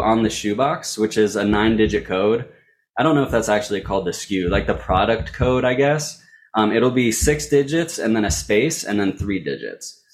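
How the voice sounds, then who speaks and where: This man has an ordinary speaking voice. He talks fairly quickly. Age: 30s. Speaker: sneaker reseller. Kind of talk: interview.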